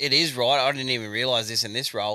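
The intonation stays fairly even, with an Australian accent. The recording is very clean, against a silent background. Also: man. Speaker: podcast co-host. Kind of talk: casual chat.

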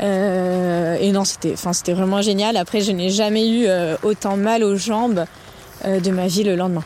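Against noticeable background noise, a woman talks at a fairly slow pace and medium pitch, her intonation monotone and flat. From Lyon, France. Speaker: trail runner and lawyer. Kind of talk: casual interview. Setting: at home.

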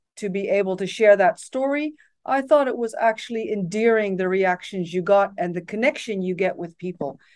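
Against a quiet background, the voice has a Dutch accent, a dark, mellow tone, ordinary pitch variation and a moderate pace. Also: woman. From Netherlands, raised partly abroad as expat child. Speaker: tech company executive. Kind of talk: interview.

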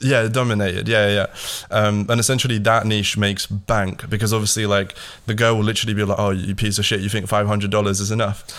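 A man's fairly low, monotone, flat voice at a very fast pace and very even loudness. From Latvia, moved to UK at ten. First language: Latvian. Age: 20s. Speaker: online agency entrepreneur. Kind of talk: casual chat. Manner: hesitant, many fillers.

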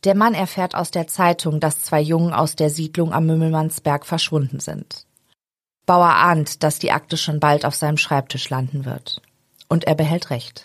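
A woman's very deep, low voice in a serious tone, with fairly even intonation and a moderate pace. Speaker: true crime podcast host. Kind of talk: true-crime narration, read from script. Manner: serious, measured, even storytelling pace.

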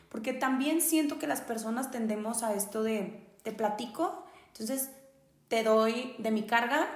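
With a northern Mexican accent, a woman speaks at a fairly high pitch and a fairly slow pace, amid noticeable background noise and audible room echo. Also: ordinary pitch variation. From northern Mexico. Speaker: podcast host. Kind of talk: casual chat.

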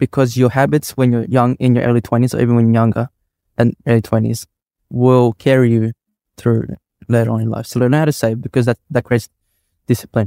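The recording is dry and close with no echo, as a man with a dark, mellow tone and monotone, flat intonation talks at a fairly quick pace, leaving long, frequent pauses. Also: medium pitch for a man. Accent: Australian. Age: 30s. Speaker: electrical contractor and property developer. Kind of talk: casual interview. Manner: halting, many fillers.

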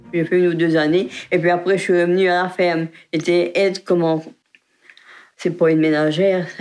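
A woman talks at a fairly quick pace in a fairly low pitch, with flat, monotone intonation and very even loudness. Her speech has long, frequent pauses. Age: 80s+. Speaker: retired farm worker, nursing home resident. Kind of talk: oral history interview. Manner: halting.

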